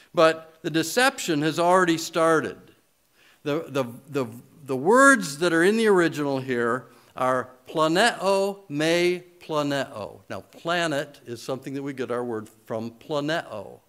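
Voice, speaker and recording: A man with an American accent speaks at a fairly slow pace in a bright, sharp tone, his fairly high pitch carried by lively intonation. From US Midwest, Michigan. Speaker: pastor. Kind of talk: sermon.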